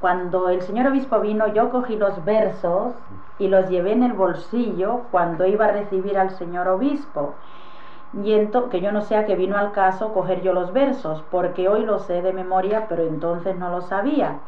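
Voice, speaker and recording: Light background noise and audible room echo accompany a woman talking at a moderate pace with ordinary pitch variation. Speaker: witness. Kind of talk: interview answer. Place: home room. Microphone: old recording.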